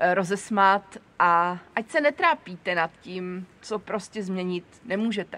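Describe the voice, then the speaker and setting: A woman with an unremarkable speaking voice talks at medium pitch with ordinary pitch variation. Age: 40s. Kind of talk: personal monologue. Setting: seated on camera.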